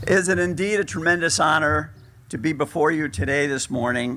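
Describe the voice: A man's fairly bright tone at a moderate pace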